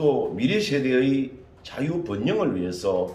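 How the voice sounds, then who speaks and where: A man with a medium-pitched voice swings very widely in pitch, with audible room echo and noticeable background noise. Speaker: election candidate. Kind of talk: interview. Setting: candidate's office.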